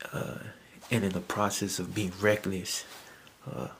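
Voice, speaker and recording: Soft-spoken male voice, fairly low-pitched and fairly slow, with fairly even intonation. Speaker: YouTube commentator. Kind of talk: casual vlog commentary. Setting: at home at night. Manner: soft-spoken, talking low; halting, many fillers.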